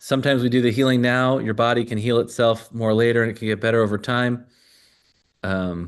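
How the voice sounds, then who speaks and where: Flat, monotone intonation at a fairly quick pace. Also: man, medium pitch for a man. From US Midwest (Glendale Heights, Illinois). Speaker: energy healing coach. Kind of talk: live online workshop demonstration.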